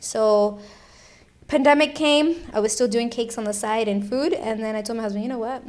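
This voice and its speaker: An ordinary speaking voice with ordinary pitch variation. The pace is fairly quick. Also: woman, fairly high pitch for a woman. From Miami, Florida (Cuban-American). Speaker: food truck owner and chef. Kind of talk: casual chat.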